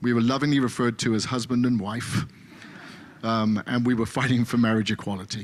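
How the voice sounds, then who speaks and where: In an English accent, a man speaks with monotone, flat intonation. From England. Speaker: pastor. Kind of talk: speech in a worship service. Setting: synagogue service, live-streamed. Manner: hesitant, many fillers.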